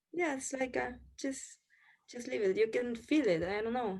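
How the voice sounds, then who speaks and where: A woman with a Spanish accent and lively intonation. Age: 30s. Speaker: restaurant owner. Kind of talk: interview.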